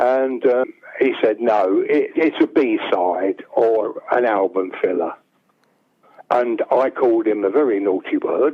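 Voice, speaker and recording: A man talks with a London accent. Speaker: songwriter. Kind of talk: interview.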